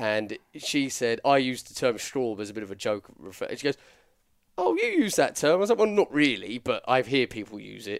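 With an English accent, the speaker keeps a moderate pace and ordinary pitch variation. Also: man. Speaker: podcast co-host. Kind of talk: casual chat.

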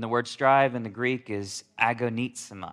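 Over a quiet background, a man with a slight Southern US accent speaks at a medium pitch with fairly even intonation. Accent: slight Southern drawl. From Alabama, US South. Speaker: pastor. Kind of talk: sermon.

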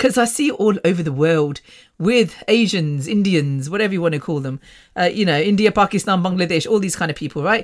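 A woman with an English Midlands accent, medium pitch, lively intonation, an animated tone and a fairly quick pace. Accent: British English, English Midlands. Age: 50s. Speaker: podcast host. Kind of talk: casual monologue. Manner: fast talker.

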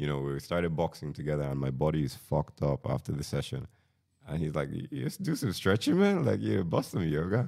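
At a fairly quick pace, a man with a very deep, low pitch speaks with lively intonation. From Nigeria. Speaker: engineer. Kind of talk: casual chat.

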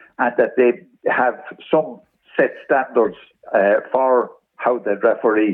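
In an Irish accent, a man speaks at a medium pitch with ordinary pitch variation. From Ireland. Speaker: former football league official. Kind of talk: radio interview.

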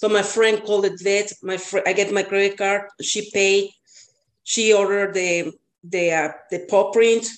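Flat and monotone, a woman speaks in a Spanish accent at a medium pitch. Her pace is fairly slow. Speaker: cat boarder and co-host, student. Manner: self-conscious about accent, slightly hesitant.

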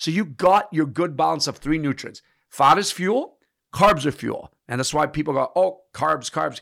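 A man with a fairly high pitch, ordinary pitch variation and a moderate pace, an ordinary speaking voice in a very clean recording with a silent background. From Canada, immigrated from Italy at seven. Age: 50s. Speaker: personal trainer. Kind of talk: casual interview chat.

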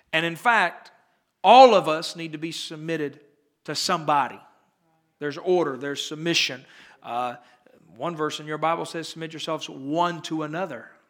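Delivered at a moderate pace with ordinary pitch variation, the speech has big swings in loudness, long, frequent pauses and audible room echo. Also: man, fairly high pitch for a man. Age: 30s. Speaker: pastor. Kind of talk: sermon.

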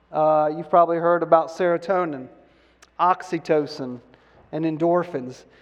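Pausing long and often, a man speaks at a moderate pace in a fairly high voice with fairly even intonation. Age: 50s. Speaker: pastor. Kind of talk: sermon.

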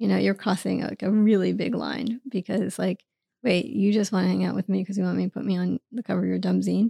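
Heard in dry, close sound with no echo, a woman with an American accent speaks at a very fast pace. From New York City, Queens. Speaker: author and producer. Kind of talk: interview conversation. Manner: halting.

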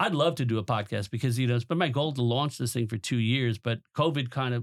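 Very fast, fairly even-toned speech from a man of medium pitch with a New York accent, on a very clean recording with a silent background. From Long Island, New York. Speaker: teacher and former professor. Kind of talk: presentation then interview. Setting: studio.

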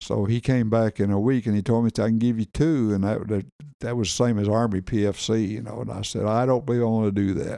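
This man has a Southern US accent and a dark, mellow tone at a medium pitch. He talks very fast with fairly even intonation. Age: 80s+. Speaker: military veteran. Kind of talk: casual chat.

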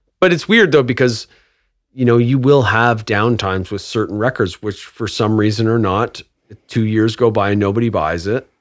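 Here a man speaks at a medium pitch and a moderate pace. His pitch variation is ordinary. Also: very clean recording, silent background. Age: 40s. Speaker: record store owner. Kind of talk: casual interview. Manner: halting.

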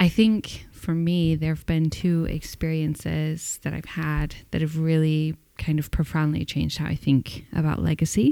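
A woman with a very deep, low voice and a dark, mellow tone speaks in a monotone, flat way at a moderate pace with hardly any pauses. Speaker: podcast host. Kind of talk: casual conversation between spouses. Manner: tired.

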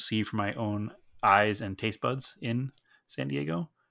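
A man with an American accent speaks at a fairly slow pace in a fairly low voice. The recording is very clean, with a silent background. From Massachusetts North Shore, Salem. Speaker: podcast co-host. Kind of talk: casual chat.

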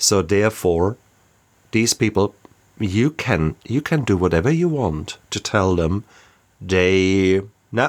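On a very clean recording with a silent background, a man with a German accent speaks at a fairly slow pace, his fairly low voice showing ordinary pitch variation. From Germany. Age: 50s. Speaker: doctor in recovery from alcoholism. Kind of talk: personal recovery testimony in interview. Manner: halting, repeats words.

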